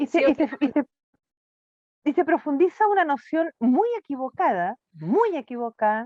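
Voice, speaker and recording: A woman speaks at a fairly slow pace in a high voice, her pitch swinging very widely. Her loudness stays very even, and the sound is dry and close with no echo. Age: 60s. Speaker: NGO director, children's rights advocate. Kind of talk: interview conversation.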